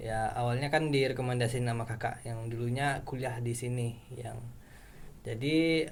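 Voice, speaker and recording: A man speaks at a medium pitch in a flat, monotone way. Noticeable background noise and audible room echo surround his voice. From West Sumatra, Bukittinggi. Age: 20s. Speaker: university student. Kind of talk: casual chat.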